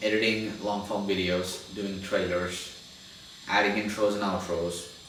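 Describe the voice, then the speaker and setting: A man with a non-native accent and a fairly low pitch speaks at a moderate pace, with audible room echo and noticeable background noise. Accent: non-native English speaker. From India. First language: Telugu. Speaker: podcast post-production agency founder, YouTuber. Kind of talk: casual monologue to camera. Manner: halting, with restarts.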